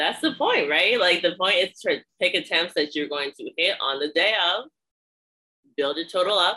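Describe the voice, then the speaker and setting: A woman talks in an ordinary speaking voice at a moderate pace. Her pitch sits fairly low, and her intonation is lively. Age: 20s. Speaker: podcast host and powerlifting coach. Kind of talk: casual interview chat.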